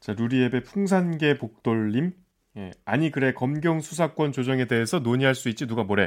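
At a moderate pace, a man talks in an unremarkable speaking voice, medium in pitch with lively intonation. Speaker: news reporter. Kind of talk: casual panel discussion.

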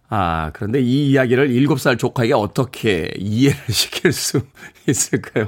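At a medium pitch, a man with vocal fry talks fairly slowly with lively intonation and very even loudness, the recording very clean with a silent background. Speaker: radio DJ. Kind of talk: morning radio show. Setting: radio studio.

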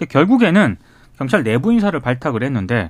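On a very clean recording with a silent background, a man speaks with vocal fry. His pitch rises and falls in very wide swings. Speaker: journalist. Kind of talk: radio news discussion. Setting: radio studio. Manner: formal.

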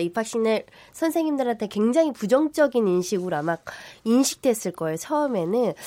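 Lively intonation and a dark, mellow tone mark this speech at a moderate pace. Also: woman. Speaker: lawyer. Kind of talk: panel debate. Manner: loud, impassioned.

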